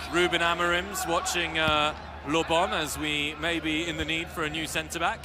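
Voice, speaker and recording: In a northern English accent, a man speaks at a moderate pace and fairly high pitch with monotone, flat intonation, amid audible room echo and noticeable background noise. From northern England. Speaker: football commentator. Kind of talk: live commentary.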